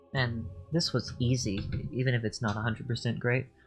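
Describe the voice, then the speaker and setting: With music in the background, a soft-spoken man mumbles at a fairly quick pace in a medium-pitched voice with ordinary pitch variation. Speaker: 3D artist streamer. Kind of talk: tutorial. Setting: live stream. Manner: mumbling. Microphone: too quiet.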